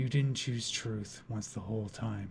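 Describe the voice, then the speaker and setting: Here a man performs a put-on character voice. He keeps a medium pitch and a moderate pace. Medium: audio drama. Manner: cold and intense, cracking into grief.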